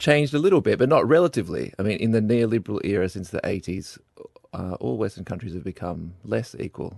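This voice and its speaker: Fairly quick in pace, the speech comes in an Australian accent with very wide pitch swings and big swings in loudness. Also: man. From Melbourne, Australia. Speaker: master's student. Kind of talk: casual discussion. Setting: studio.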